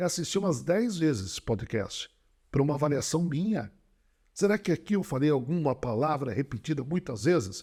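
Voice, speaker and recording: On a very clean recording with a silent background, a man speaks at a fairly high pitch with vocal fry and very wide pitch swings. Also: moderate pace. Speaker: public speaking coach and speaker. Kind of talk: podcast interview, instructive talk. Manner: varied volume, intensity and speed; animated, rhetorical.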